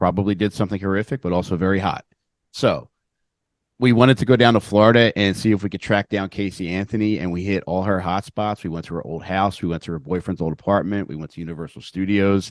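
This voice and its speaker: With a Philadelphia accent, a man talks very fast at a fairly low pitch and fairly even intonation, in a dry, close sound with no echo against a quiet background. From Philadelphia area, Upper Darby (Delco). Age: 40s. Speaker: comedian and podcaster. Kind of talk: casual podcast interview.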